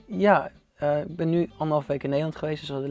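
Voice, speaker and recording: A man talking at a very fast clip, with ordinary pitch variation and a dry, echo-free sound. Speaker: interview guest. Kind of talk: interview answer. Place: studio. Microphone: lapel.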